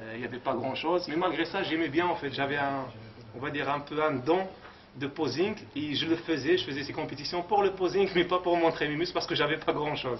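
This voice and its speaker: Noticeable background noise runs under a man talking at a fairly quick pace. His pitch is fairly high, with ordinary variation. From Morocco. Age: 30s. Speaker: bodybuilder. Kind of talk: interview. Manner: halting.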